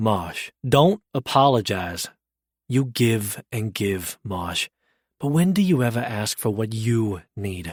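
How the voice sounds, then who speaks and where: Putting on a gruff character voice, a man speaks at a medium pitch and a fairly slow pace. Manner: gentle, softened, caring.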